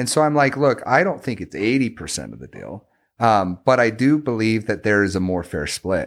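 An unremarkable speaking voice from a man of medium pitch, with lively intonation, big swings in loudness and a moderate pace, on a very clean recording with a silent background. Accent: American. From US West, Las Vegas. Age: 30s. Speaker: sales executive. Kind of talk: casual chat.

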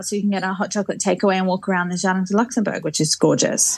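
Very fast speech in an Australian accent. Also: woman. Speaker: Instagram creator living in Paris. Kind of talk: casual interview chat.

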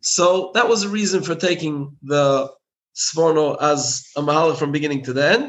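Moderate pace and ordinary pitch variation from a man with a fairly high voice. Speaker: rabbi and author. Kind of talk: casual interview chat. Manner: halting, filler words.

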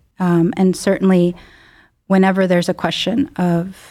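Dark and mellow in tone, this voice speaks with a Chicago accent and ordinary pitch variation. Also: woman. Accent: Chicago-area American. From US Midwest, Chicago suburbs. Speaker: neurologist. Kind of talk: medical podcast interview.

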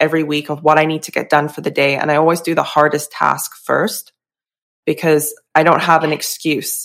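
A woman speaks at a fairly quick pace with a very deep, low pitch. Her intonation is monotone and flat. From UK. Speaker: nutrition consultant and former nurse. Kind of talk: casual interview conversation.

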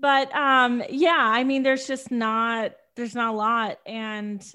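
Against a quiet background, a woman speaks with a fairly high pitch and a bright, sharp tone. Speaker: podcast co-host. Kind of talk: casual chat about movie.

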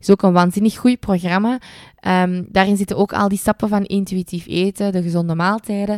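In a Flemish accent, a woman speaks at a moderate pace with monotone, flat intonation. The recording is very clean with a silent background, dry and close with no echo. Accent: Flemish Dutch. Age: 20s. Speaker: dietitian and podcast host. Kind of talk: casual solo podcast monologue.

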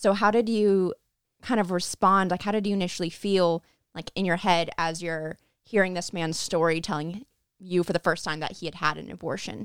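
Speaking at a moderate pace, a woman has a normal speaking voice at a fairly low pitch with fairly even intonation, on a very clean, dry, close recording with a silent background and no echo. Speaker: podcast producer and host. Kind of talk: casual podcast debrief chat.

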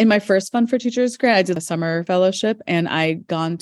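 A woman speaks at medium pitch and a moderate pace with ordinary pitch variation. It is an ordinary speaking voice. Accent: American. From United States. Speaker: high school science teacher. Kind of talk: interview. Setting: school, between classes.

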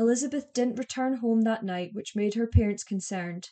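A woman's fairly high voice, serious in tone, dark and mellow, with fairly even intonation. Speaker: true crime podcaster. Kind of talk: true-crime narration, scripted-sounding and factual. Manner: measured, even and serious; clear and formal, telling the case step by step.

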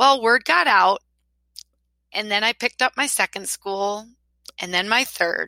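A woman with a Wisconsin accent speaks slowly at a fairly high pitch, her tone bright, sharp and animated, with ordinary pitch variation. The recording is very clean, silent behind her, and dry and close with no echo. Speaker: podcast host, school social media consultant. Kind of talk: podcast monologue.

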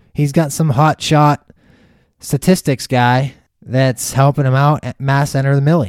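A man with a fairly high pitch and a normal speaking voice talks at a moderate pace, in a very clean recording with a silent background and a dry, close sound with no echo. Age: 30s. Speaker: fantasy football podcast host. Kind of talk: casual solo podcast monologue.

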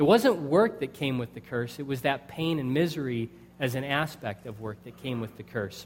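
A normal speaking voice from a man with an American accent, fairly high in pitch, with lively intonation at a moderate pace. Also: big swings in loudness. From United States. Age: 20s. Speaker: pastor. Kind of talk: sermon.

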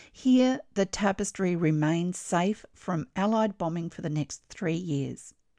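A woman with an Australian accent speaks at a very slow pace in a dramatic tone, her voice dark and mellow at medium pitch with lively intonation. The sound is dry and close with no echo, on a very clean recording with a silent background. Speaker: textile artist and podcast host. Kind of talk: history documentary narration, scripted and read in a storytelling tone. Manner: measured, clear and expressive, with a dramatic, storytelling edge.

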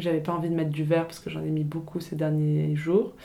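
Her voice very deep and low with a dark, mellow tone, a woman speaks with monotone, flat intonation. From France, Paris. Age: 20s. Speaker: fashion designer. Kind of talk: interview. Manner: hesitant, many fillers.

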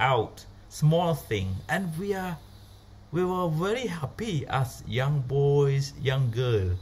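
Very slowly, a man speaks with a Cambodian accent at a fairly high pitch. His voice is somewhat breathy, with very wide pitch swings. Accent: Cambodian (Khmer) English. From Cambodia, rural. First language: Khmer. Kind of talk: personal story. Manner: halting.

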